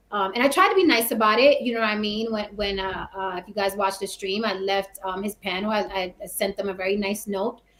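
A woman's normal speaking voice with an American accent, fairly high in pitch, at a moderate pace. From New York, the Bronx. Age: 40s. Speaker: actress and YouTuber. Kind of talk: casual chat.

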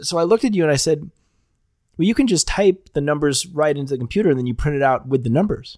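Someone talks at a very fast pace with lively intonation. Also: man, fairly high pitch for a man. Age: 30s. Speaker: podcast host. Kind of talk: casual chat.

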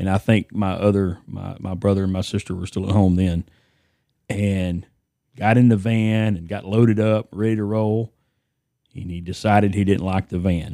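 A man with an East Texas accent speaks at a moderate pace in a dark, mellow tone, with fairly low pitch. His intonation is monotone and flat, and the sound is dry and close with no echo. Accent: East Texas Southern US. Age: 50s. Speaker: podcast guest, host's father. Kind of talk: casual chat.

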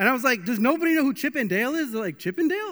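A man's raised, projected voice comes through with a bright, sharp tone. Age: 30s. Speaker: pastor. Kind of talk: sermon. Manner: casual and chatty.

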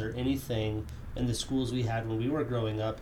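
A man speaks at a medium pitch with ordinary pitch variation. Audible room echo and noticeable background noise are present. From Wyoming. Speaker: podcast host. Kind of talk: casual interview.

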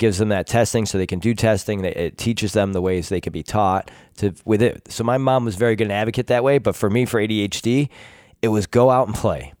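In a very clean recording with a silent background, a man with an American accent talks very fast in a fairly low voice, his tone animated and his pitch varying in an ordinary way. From Rochester, New York. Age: 40s. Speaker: podcast host. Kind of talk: casual chat. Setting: studio.

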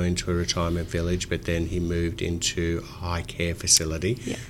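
A man speaks in an Australian accent at a moderate pace. His pitch is very deep and low. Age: 50s. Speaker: financial adviser podcast host. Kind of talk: interview.

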